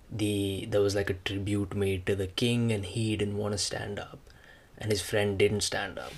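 Somewhat breathy, a man talks at a fairly quick pace in a fairly low pitch with monotone, flat intonation. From India. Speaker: podcaster. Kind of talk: casual monologue. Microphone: semi-professional mic.

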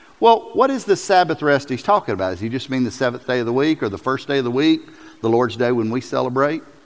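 Here a man with a Southern US accent speaks at a medium pitch. He talks very fast with lively intonation. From US South. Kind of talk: sermon. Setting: church. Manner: animated.

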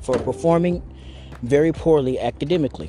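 There is noticeable background noise as a man speaks with an American accent. He keeps a moderate pace with ordinary pitch variation. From US South (Arkansas). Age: 30s. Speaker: podcaster. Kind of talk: casual monologue. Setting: outdoors, walking. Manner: rambling with fillers.

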